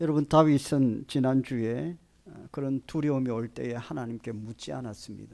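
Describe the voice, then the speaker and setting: Loudness swings widely as a man speaks at a moderate pace. His medium-pitched voice has a dark, mellow tone and ordinary pitch variation. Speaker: pastor. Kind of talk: sermon. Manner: hesitant, many fillers.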